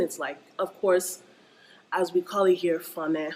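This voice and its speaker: The speech is animated and fairly slow. Noticeable background noise runs underneath. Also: woman. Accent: American. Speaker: vlogger. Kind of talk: casual rant vlog.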